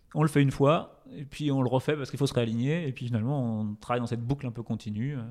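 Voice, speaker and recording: A man's speech races along at a very fast clip, with hardly any pauses, a medium pitch, and ordinary pitch variation. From France, Touraine near Tours. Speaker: startup co-founder, entrepreneur. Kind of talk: casual interview chat.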